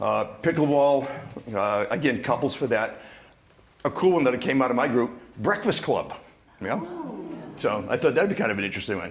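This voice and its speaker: A man with a Boston accent and a medium pitch talks at a moderate pace, using very wide pitch swings and long, frequent pauses over noticeable background noise. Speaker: discussion table facilitator. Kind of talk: reporting back to a meeting. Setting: community club meeting with microphone.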